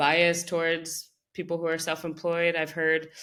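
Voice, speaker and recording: In a French accent, a woman talks at a fairly slow pace with a fairly low pitch. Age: 30s. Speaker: creative director. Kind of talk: interview conversation.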